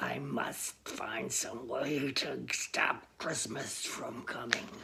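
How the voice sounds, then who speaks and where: Putting on a character voice, a man growls at a very slow pace, raspy and at medium pitch. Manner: growling, sneering.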